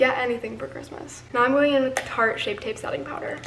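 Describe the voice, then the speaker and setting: A woman with a high-pitched voice and ordinary pitch variation talks over noticeable background noise. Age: young. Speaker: beauty and lifestyle vlogger. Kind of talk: casual talk to camera. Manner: chatty, rambling.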